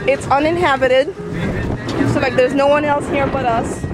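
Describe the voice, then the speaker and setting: The speech runs at a fairly quick pace. Music is clearly heard in the background. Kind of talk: casual vlog chat. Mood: relaxed, cheerful. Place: boat. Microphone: phone near.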